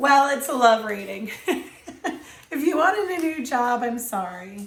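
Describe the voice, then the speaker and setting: This woman's voice is high-pitched, with very wide pitch swings, at a fairly slow pace. Audible room echo can be heard. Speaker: tarot reader. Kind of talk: tarot reading. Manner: hesitant, many fillers.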